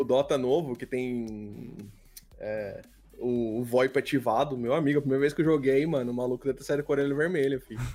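A man of medium pitch talks at a fairly quick pace with fairly even intonation. His tone is dark and mellow. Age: 30s. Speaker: YouTuber and engineer. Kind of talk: casual chat.

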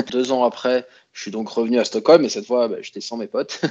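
Speaking at a fairly quick pace, a man has a plain, everyday voice at a medium pitch with ordinary pitch variation. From France, Grenoble (Alps). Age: 30s. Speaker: expat interviewee. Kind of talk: interview conversation.

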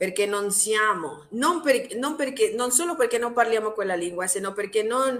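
Lively intonation marks this woman's fairly high-pitched voice at a moderate pace. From Mexico. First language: Spanish (speaking Italian). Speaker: Italian teacher and linguistics doctoral student. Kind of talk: interview. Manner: halting.

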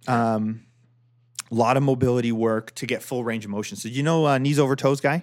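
A man with a Canadian accent speaks in an ordinary speaking voice. He moves at a fairly quick pace with ordinary pitch variation. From Ontario, Canada. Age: 30s. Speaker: golf podcast host. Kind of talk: casual chat.

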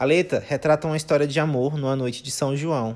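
A man with a plain, everyday voice talks at a fairly quick pace and fairly high pitch, with ordinary pitch variation. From Maranhão, Brazil. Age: 20s. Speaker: podcast host. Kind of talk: scripted narration.

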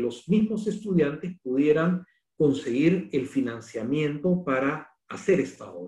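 A man's fairly high, somewhat breathy voice, dark and mellow in tone, with lively intonation. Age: 50s. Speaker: architect and university dean. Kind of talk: lecture.

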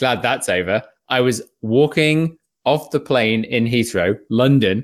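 A man speaks with a British accent. The recording is very clean, with a silent background. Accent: British, often taken for Australian. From England. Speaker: podcast host. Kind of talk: casual chat.

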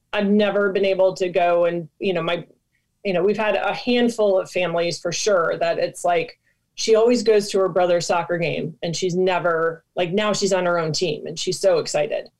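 A woman with an American accent and a plain, everyday voice, medium in pitch, at a moderate pace with fairly even intonation. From Michigan, US Midwest. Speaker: nonprofit founder and former soccer player. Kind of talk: interview.

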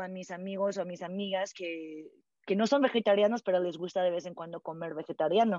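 Talking fairly quickly, a woman has an ordinary speaking voice and ordinary pitch variation. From California, US. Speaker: founder of a vegetarian community project. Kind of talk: interview. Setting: podcast interview.

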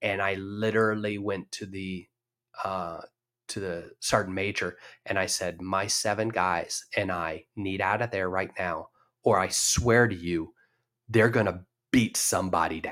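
A man with an ordinary speaking voice talks at a fairly slow pace and a fairly low pitch. His intonation is fairly even, and the recording is very clean with a silent background. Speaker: retired military officer. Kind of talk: interview.

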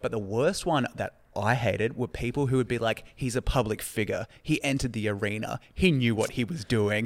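In an Australian accent, a man speaks at a medium pitch and moderate pace with ordinary pitch variation and hardly any pauses. The recording is very clean, with a silent background. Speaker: podcast co-host, comedian. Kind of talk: casual chat.

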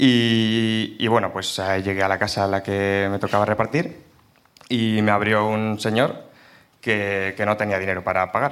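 In an ordinary speaking voice, a man talks at a fairly slow pace with a fairly low pitch and fairly even intonation. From Burgos, Spain. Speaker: audience member telling a story. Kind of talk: storytelling to a live audience.

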